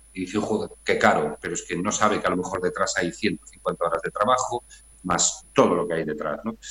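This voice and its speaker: Here a man is speaking. His pace is moderate. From Galicia, Spain (Redondela). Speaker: painter. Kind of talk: interview. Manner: halting.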